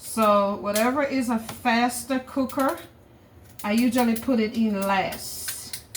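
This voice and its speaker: Background noise is noticeable throughout. Over it, a woman speaks very slowly. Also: very even loudness. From Jamaica. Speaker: cooking vlogger. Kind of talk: casual cooking tutorial. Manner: chatty, repetitive.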